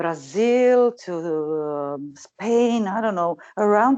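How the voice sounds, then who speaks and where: A woman with a Croatian accent speaks at a medium pitch with lively intonation against a quiet background. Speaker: singer. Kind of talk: interview. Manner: halting.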